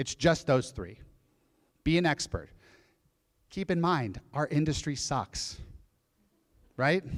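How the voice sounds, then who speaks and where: Marked by vocal fry, a man's fairly high voice shows ordinary pitch variation and long, frequent pauses. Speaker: real estate speaker on a panel. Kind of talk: live event panel talk. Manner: fast.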